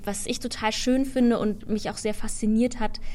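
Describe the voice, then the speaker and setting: A woman talks at a moderate pace. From Germany. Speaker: musical actress. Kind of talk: interview.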